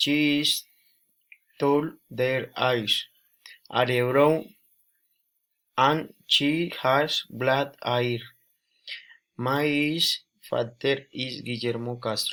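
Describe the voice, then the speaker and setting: A man with a Spanish accent speaks very slowly in a fairly high voice, his intonation fairly even and his speech broken by long, frequent pauses. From Colombia, Boyacá. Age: 20s. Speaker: student. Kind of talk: language practice self-introduction. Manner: halting.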